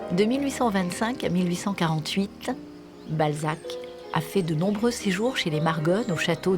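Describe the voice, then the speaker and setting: With music in the background, a woman speaks at a moderate pace in a fairly low voice with lively intonation. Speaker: voice-over narrator. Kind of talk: documentary narration.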